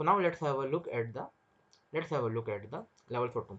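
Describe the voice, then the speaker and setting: The speaker talks at a very fast pace with an Indian accent. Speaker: stock market trader and trading educator. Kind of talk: market analysis tutorial. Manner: repetitive, restarts phrases.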